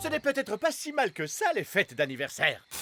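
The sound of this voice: A man performs a cartoonish character voice, high-pitched and bright and sharp, with very wide pitch swings. He keeps a moderate pace while faint music plays in the background.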